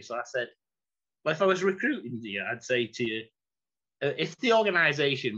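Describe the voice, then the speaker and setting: A man with a Mancunian accent, bright and sharp in tone, lively in intonation, at a fairly quick pace. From Manchester, England. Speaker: former executive and chief operating officer. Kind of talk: interview answer.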